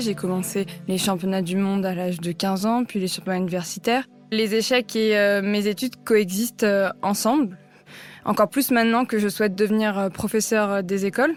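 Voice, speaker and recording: Music plays in the background while a woman talks fairly quickly, her intonation fairly even. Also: medium pitch for a woman. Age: 20s. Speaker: chess player. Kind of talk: interview. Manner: hesitant, many fillers.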